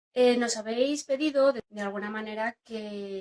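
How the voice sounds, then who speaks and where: Delivered very slowly, the words carry ordinary pitch variation. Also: woman. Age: 40s. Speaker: LGTB believer giving testimony. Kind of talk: testimony.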